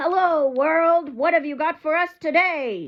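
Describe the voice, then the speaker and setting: In a put-on character voice, a woman speaks at a fairly slow pace in a raised, projected, extremely high pitch with ordinary pitch variation. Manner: loud and cheerful.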